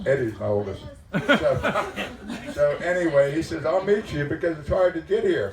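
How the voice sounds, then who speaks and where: Amid noticeable background noise, a man speaks at a moderate pace with big swings in loudness. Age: 80s+. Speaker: grandfather of the bride. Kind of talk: wedding speech. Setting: wedding reception. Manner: halting, repeating words.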